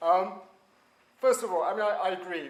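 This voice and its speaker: This voice carries a British accent. It moves at a moderate pace. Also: man. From Britain. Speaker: transatlantic studies expert. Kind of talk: panel talk. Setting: university panel with audience, standing. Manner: hesitant, many fillers.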